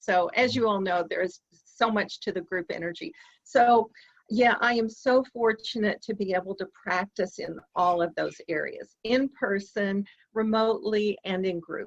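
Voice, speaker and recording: A woman's fairly high voice with an American accent, ordinary pitch variation, a fairly slow pace, and a dry, close sound with no echo. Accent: slight Southern US, comes out sometimes. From US South. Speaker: EFT practitioner, dating coach. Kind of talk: interview.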